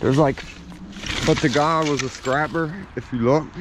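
The speech moves at a moderate pace, the sound dry with no echo and noticeable background noise behind it. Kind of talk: casual vlog chat. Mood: a bit hesitant, low-key. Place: forest. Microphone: phone near.

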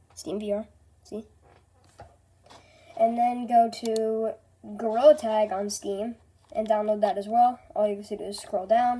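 Her voice is fairly high yet dark and mellow, with fairly even intonation. The woman talks at a fairly slow pace with long, frequent pauses. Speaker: gaming YouTuber. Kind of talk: tutorial. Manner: casual.

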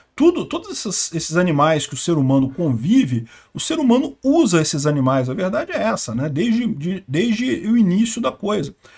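Against a quiet background, a man with a high-pitched voice speaks at a moderate pace, his pitch swinging very widely. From Brazil. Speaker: political commentator. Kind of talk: news commentary. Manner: casual, conversational.

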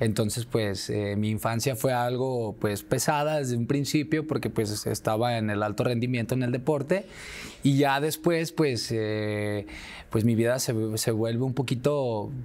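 This man speaks at a fairly slow pace with ordinary pitch variation. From Guadalajara, Jalisco, Mexico. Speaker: clown entertainer; interview guest. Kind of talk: interview. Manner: halting with repetitions. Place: studio. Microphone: lapel.

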